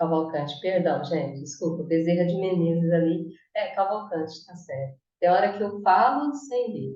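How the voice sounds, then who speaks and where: In a plain, everyday voice, a woman speaks at medium pitch and a fairly slow pace. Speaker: spiritist study presenter. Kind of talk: study talk on video call.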